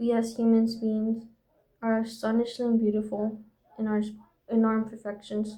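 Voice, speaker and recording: A woman's fairly high-pitched, somewhat breathy voice with a non-native accent and a dark, mellow tone, with audible room echo. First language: not English. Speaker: vlogger. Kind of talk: reading aloud from own journal; casual monologue. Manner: reflective.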